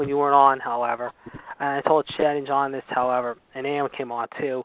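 With an American accent, a man uses a normal speaking voice, fairly high in pitch and delivered at a fairly quick pace. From Pittsburgh, US. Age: 40s. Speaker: wrestling podcast co-host. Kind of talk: casual chat. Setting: phone call.

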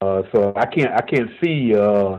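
A man's fairly low-pitched voice. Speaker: caller. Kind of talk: call-in discussion. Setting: phone call. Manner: halting.

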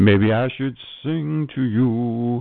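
A man at a medium pitch. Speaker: podcaster. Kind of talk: casual monologue. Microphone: static and echo.

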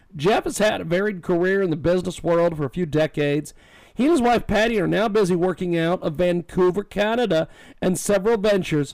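A man talks at a fairly quick pace in a high pitch with ordinary variation. The recording is very clean, with a silent background. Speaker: radio talk show host. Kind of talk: talk radio interview; read-out promotion. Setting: radio studio.

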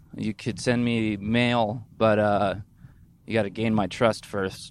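Very slowly and in a monotone, flat manner, a man speaks at a fairly low pitch. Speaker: podcast host. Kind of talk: casual solo monologue while driving. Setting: in a car. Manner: rambling, halting with fillers.

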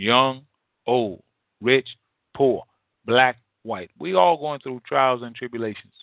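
A man talks slowly at medium pitch with vocal fry and ordinary pitch variation, leaving long, frequent pauses in a dry, close sound with no echo.

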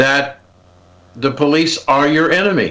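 A man with an American accent and a bright, sharp tone speaks at a fairly slow pace. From Ohio, US. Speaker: political commentator. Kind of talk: radio interview. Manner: halting.

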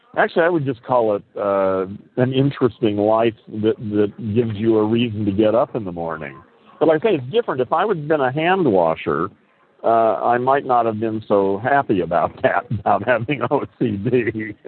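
A man speaks in a plain, everyday voice at a medium pitch. His intonation is lively. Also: moderate pace. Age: 60s. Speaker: audio chat room host. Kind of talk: casual chat.

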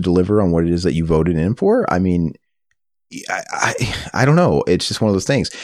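In a very clean recording with a silent background, a man with an American accent speaks at a very fast pace with a very deep, low pitch. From US Midwest. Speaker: podcast host. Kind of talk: casual chat. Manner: animated.

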